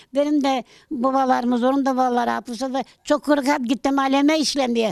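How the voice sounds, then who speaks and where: A woman's high-pitched voice at a fairly quick pace, in a dry, close sound with no echo. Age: 80s+. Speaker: elderly villager. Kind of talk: casual interview.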